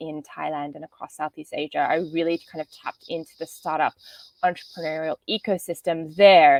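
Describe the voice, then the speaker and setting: At a moderate pace, a woman with an Australian accent speaks at a fairly low pitch with fairly even intonation, in a dry, close sound with no echo. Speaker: business development manager, workshop presenter. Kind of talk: online workshop presentation.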